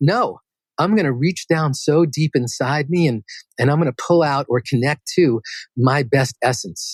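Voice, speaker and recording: A somewhat breathy man at a moderate pace, with ordinary pitch variation, in a dry, close sound with no echo and a quiet background. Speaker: meditation guide. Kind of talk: interview answer.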